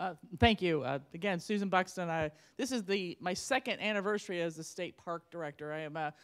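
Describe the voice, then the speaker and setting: Fairly quick speech from a woman with a fairly low pitch and ordinary pitch variation, in a very clean recording with a silent background. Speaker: state parks director. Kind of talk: panel discussion. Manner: fast.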